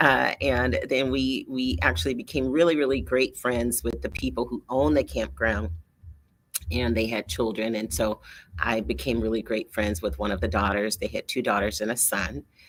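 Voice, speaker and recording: This woman has a very deep, low pitch with vocal fry. She speaks at a moderate pace, and her pitch swings very widely. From US Midwest (Michigan). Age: 60s. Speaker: coach and entrepreneur, online show host. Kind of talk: monologue to camera. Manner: hesitant fillers, repeats words.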